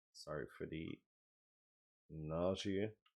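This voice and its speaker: A man with a French accent at a fairly slow pace. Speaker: game designer. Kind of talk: video update and tutorial. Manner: halting, many filler words.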